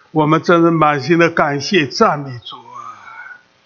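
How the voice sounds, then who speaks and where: A man speaks at a very slow pace in a high voice, with audible echo from the room. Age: 80s+. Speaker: preacher. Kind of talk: sermon. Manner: halting, many filler sounds; animated, exclamatory.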